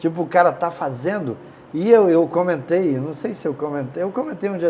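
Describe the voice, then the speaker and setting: This man's voice is high. His pitch varies in an ordinary way. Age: 60s. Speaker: business owner. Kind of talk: interview.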